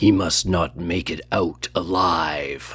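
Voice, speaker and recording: A raspy, put-on character voice speaks at a very slow pace. Its intonation stays fairly even. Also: man. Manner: menacing.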